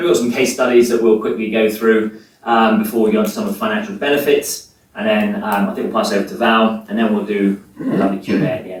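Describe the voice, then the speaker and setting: With an English accent, a man speaks at a very fast pace in fairly even intonation over noticeable background noise. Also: medium pitch for a man. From England. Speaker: sustainability manager. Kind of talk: presentation.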